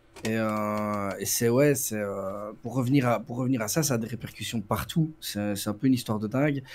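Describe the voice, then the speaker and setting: A man at a moderate pace with a slight Brussels accent, medium pitch, ordinary pitch variation and hardly any pauses. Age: 40s. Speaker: prison guard. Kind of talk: interview. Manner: halting.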